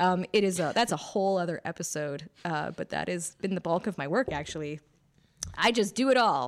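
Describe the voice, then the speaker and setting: In a very clean recording with a silent background, a woman speaks in a plain, everyday voice with ordinary pitch variation. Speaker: podcast co-host and editor. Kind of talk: casual chat.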